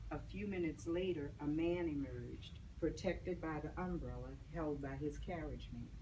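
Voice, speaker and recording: A woman talks at an unhurried, moderate pace, and the room's echo can be heard around her. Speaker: author. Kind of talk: reading aloud. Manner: monotone.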